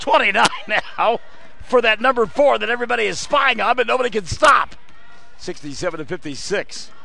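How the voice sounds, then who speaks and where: Loud and shouting, a man speaks at a fairly quick pace with a high pitch and lively intonation. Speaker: play-by-play sports announcer. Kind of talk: live commentary. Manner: loud, yelling.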